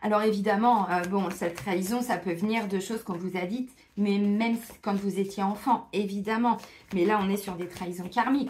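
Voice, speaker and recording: At a moderate pace, a woman with a medium pitch speaks with fairly even intonation against noticeable background noise. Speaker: tarot card reader. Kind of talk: tarot guidance monologue. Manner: casual, with many fillers.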